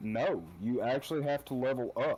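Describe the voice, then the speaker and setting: A man with an Appalachian accent, a medium pitch and ordinary pitch variation. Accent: Appalachian holler. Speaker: podcast guest, gamer. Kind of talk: casual chat.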